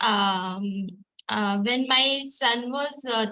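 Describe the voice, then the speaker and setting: A woman in a Gujarati accent with a bright, sharp tone and a fairly high pitch, at a very slow pace with ordinary pitch variation. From India, Maharashtra. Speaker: artist and mother. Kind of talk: online group talk. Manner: halting, many fillers.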